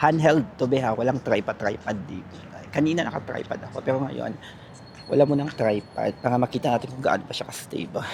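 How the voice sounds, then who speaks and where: With noticeable background noise, a man at medium pitch talks fairly quickly with ordinary pitch variation. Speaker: vlogger. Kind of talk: walking vlog voice-over. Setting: outdoors at night, walking. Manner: casual, chatty.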